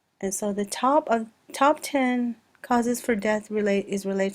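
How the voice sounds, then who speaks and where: Pitch shifts in an ordinary way. The delivery keeps a moderate speed. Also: woman. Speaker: student. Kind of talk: class presentation. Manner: hesitant, with fillers.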